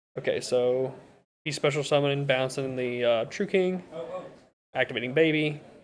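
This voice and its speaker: Pausing long and often, a man with a fairly high voice talks at a moderate pace with ordinary pitch variation. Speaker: card game tournament commentator. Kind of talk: live commentary. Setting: live stream at tournament venue. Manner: loud; speaking quieter than usual.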